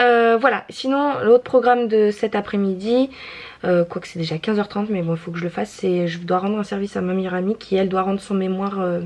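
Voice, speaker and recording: Speaking fairly quickly, a woman uses a medium pitch with ordinary pitch variation. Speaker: vlogger, mother. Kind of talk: casual vlog talk to camera. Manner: fast; hesitant, many fillers.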